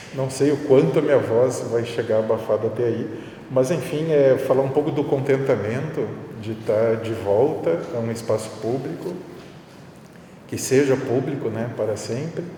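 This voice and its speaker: A man's voice with ordinary pitch variation, noticeable background noise and audible room echo. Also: medium pitch for a man. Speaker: art professor. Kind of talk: public talk. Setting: public event with audience. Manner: slow; hesitant. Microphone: muffled by face mask.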